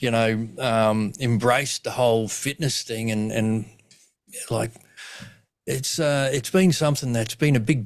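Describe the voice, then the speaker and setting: In a very clean recording with a silent background, a man of medium pitch speaks at a moderate pace with an Australian accent and ordinary pitch variation. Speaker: comedian and suicidologist, podcast host. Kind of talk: podcast interview host. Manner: casual.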